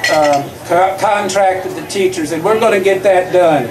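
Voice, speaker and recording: With a Kentucky accent, a man speaks at a moderate pace in a high pitch. Audible room echo and noticeable background noise surround him. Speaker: school board candidate, retired school principal. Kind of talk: campaign speech. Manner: halting with fillers.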